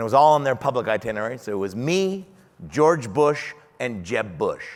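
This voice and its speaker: An animated man with a Canadian accent, fairly high in pitch, with lively intonation and a moderate pace. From Canada. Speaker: keynote speaker. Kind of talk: keynote speech. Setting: stage with audience.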